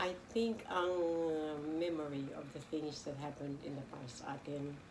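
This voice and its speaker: Amid noticeable background noise and audible room echo, a woman with a very deep, low pitch speaks at a moderate pace with ordinary pitch variation. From Philippines. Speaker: local councillor and lawyer. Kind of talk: interview.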